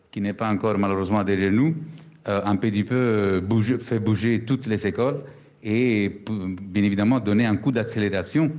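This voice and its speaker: With a slight Italian accent, a man speaks in a fairly low voice with fairly even intonation. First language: Italian (speaking French). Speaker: business school executive. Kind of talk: panel discussion. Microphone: choppy connection.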